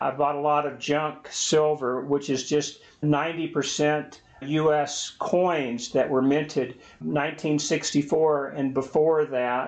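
A man with an American accent speaks at a very slow pace. His fairly high voice stays monotone and flat. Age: 60s. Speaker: personal finance video host. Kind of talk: tutorial.

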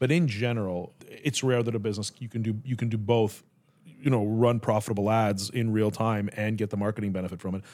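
A man in an ordinary speaking voice talks at a fairly quick pace with fairly even intonation, on a very clean recording with a silent background. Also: fairly low pitch for a man. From Canada. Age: 50s. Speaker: podcast host. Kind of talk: interview.

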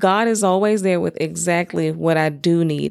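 In a Southern US accent with ordinary pitch variation, the voice comes through in a very clean recording with a silent background. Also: woman. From US South. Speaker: podcast host. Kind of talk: personal testimony monologue.

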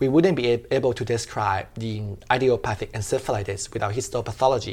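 A man talks with a Thai accent. The recording is very clean and the background silent. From Thailand. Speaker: veterinary pathologist and PhD student. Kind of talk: interview. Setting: conference venue.

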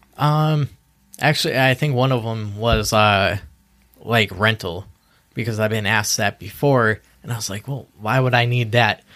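Speaking at a moderate pace, a man with an American accent has a bright, sharp tone, a medium pitch and ordinary pitch variation. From western Massachusetts (Easthampton). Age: 20s. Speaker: insurance agency employee. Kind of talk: casual interview chat.

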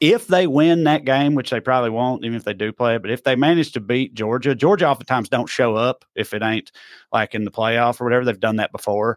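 Talking at a very fast pace with a Southern US accent, a man keeps a medium pitch and ordinary pitch variation. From Tennessee. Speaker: podcast host. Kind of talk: casual political chat.

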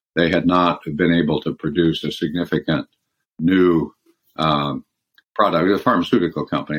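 Speaking with an American accent, a man has a very deep, low pitch and fairly even intonation. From California and Michigan, US. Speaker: former lawyer and company board chair. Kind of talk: interview.

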